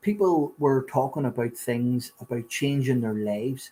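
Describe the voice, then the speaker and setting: Speaking in a Belfast accent, this man has a medium pitch and ordinary pitch variation. His voice is somewhat breathy, with a dark, mellow tone. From Northern Ireland, Belfast. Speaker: recovering addict sharing his story. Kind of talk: testimony.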